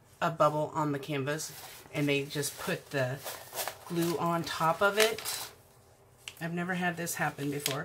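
A woman's fairly low-pitched voice at a fairly slow pace, over noticeable background noise. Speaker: crafter reviewing a kit. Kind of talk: casual unboxing commentary. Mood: mildly disappointed. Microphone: camera far.

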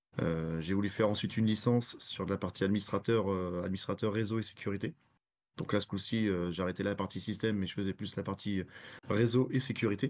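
Fairly quick and fairly even in intonation, a man speaks with a fairly low pitch. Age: 30s. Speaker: forensic analyst and pentester; forensic analyst. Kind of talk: technical talk with live demo. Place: home room. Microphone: webcam.

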